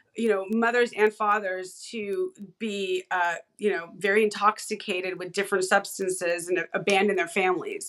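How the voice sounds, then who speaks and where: A woman's voice, medium in pitch, proceeds at a moderate pace. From California, San Fernando Valley. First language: Hebrew. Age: 40s. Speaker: independent researcher and content creator. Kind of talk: podcast interview conversation. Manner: animated.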